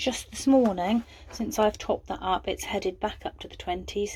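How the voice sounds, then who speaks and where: Somewhat breathy speech in an English Midlands accent, with fairly even intonation at a moderate pace. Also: woman. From England, Coventry. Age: 60s. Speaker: small farmer. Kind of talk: casual vlog narration. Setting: outdoors on a farm and in a greenhouse. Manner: hesitant, with filler words.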